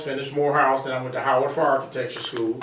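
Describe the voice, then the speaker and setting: A man with an American accent talks at a medium pitch, with noticeable background noise and audible room echo. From US Midwest, south side of Chicago. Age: 60s. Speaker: construction company founder. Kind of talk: interview.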